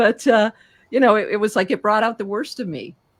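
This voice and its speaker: Vocal fry runs through this woman's fairly high voice. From Greek heritage. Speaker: speaking coach. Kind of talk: interview.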